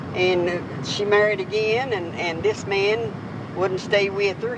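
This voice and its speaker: Speaking at a fairly slow pace with an Appalachian accent, a woman uses medium pitch and ordinary pitch variation, with audible room echo and noticeable background noise. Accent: Appalachian Southern US. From Southwest Virginia, Appalachia. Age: 70s. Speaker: grandmother interviewed about her life. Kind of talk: oral history interview.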